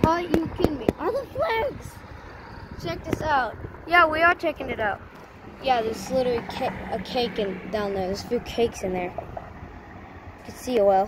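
A woman talks at a high pitch and moderate pace, the sound dry with no echo, amid noticeable background noise. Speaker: vlogger exploring. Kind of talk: casual vlog chat. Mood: amazed, excited. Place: street. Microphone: phone near.

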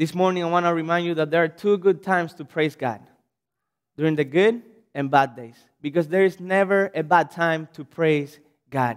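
A man with a Cuban accent, high-pitched, at a moderate pace with ordinary pitch variation against a quiet background. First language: Spanish. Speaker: pastor. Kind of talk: sermon. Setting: church. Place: church. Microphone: podium.

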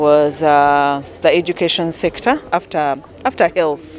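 A woman talks at a slow pace with a slightly mellow tone and ordinary pitch variation. Faint music plays in the background.

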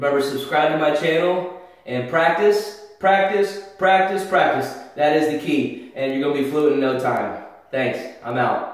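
Strong room echo surrounds this man's voice. He talks at a fairly slow pace with ordinary pitch variation. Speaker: English teacher. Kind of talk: tutorial. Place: bathroom. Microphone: camera far.

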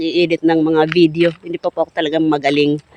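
This man has a fairly high pitch, and his dry, close sound with no echo sits over noticeable background noise. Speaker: vlogger. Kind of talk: casual vlog talk to camera. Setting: outdoors by the roadside. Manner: hesitant, many fillers.

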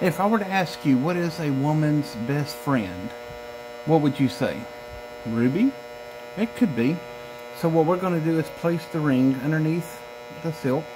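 A man talks at a fairly slow pace, leaving long, frequent pauses. Noticeable background noise sits behind him. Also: ordinary pitch variation. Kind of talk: magic trick patter. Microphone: phone near.

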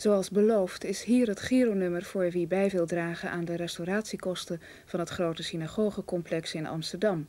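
At a moderate pace and with hardly any pauses, a woman speaks with fairly even intonation. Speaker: television announcer. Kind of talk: announcement. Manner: formal.

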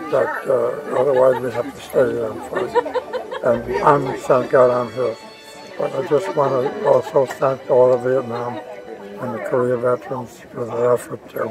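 Clear music plays in the background as a man speaks at a fairly slow pace, the sound dry with no echo. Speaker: war veteran. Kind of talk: interview answer. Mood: solemn, grateful. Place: market. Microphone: phone near.

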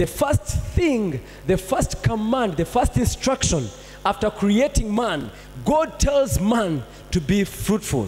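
His pitch swinging very widely, a man talks at a very slow pace. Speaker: pastor. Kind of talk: sermon. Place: church. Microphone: handheld.

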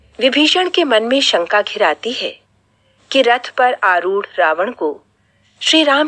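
The background is quiet as a woman talks very slowly. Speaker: radio narrator. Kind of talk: dramatic storytelling narration. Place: studio.

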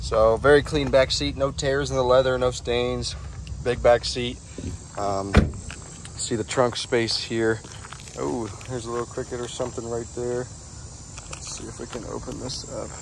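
Speech at a moderate pace breaks into long, frequent pauses, with a dry sound free of echo and noticeable background noise. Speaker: car salesperson. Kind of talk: casual sales walkaround commentary. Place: street. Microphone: phone near.

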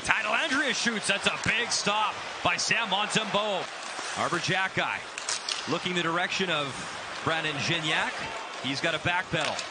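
Loud background noise fills the clip. The speech keeps a moderate pace. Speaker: hockey play-by-play announcer. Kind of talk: live play-by-play hockey commentary. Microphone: headset.

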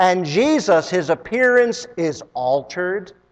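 Lively intonation in an unforced reading voice

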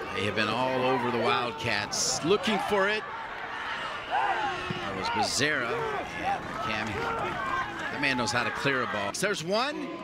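Fairly slow speech with a dry, echo-free sound over loud background noise. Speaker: play-by-play commentator. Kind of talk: live play-by-play commentary.

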